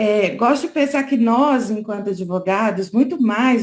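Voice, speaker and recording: A somewhat breathy woman with lively intonation at a very slow pace. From Brazil, Minas Gerais. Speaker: lawyer. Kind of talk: conference talk. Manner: conversational, frequent fillers.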